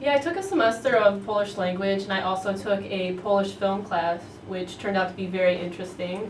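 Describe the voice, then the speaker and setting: Over noticeable background noise and audible room echo, a woman talks at a fairly quick pace with hardly any pauses, a medium pitch and fairly even intonation. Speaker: university student. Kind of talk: interview.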